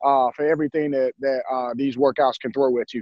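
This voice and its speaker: With a Southern US accent, a man speaks with fairly even intonation. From US South, Durham, North Carolina. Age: 30s. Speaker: basketball coach, former pro player. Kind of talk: interview.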